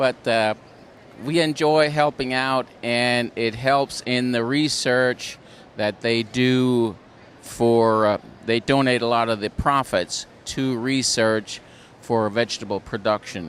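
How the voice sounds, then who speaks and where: At a very slow pace, a man with a Pennsylvania Dutch accent speaks at a medium pitch, his intonation fairly even and his loudness very even. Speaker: farm show volunteer. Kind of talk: casual interview. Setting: indoor farm show.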